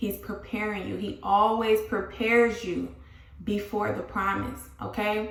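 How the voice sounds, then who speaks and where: Noticeable background noise and audible room echo fill the recording. The woman talks fairly slowly. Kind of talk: motivational religious vlog talk.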